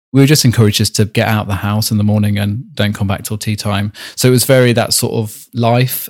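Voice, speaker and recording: A man with a Staffordshire accent, medium pitch and fairly even intonation, at a very fast pace. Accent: English Midlands (Staffordshire). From Staffordshire, England (Rugeley). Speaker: artist and embroiderer. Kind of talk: interview. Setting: video call.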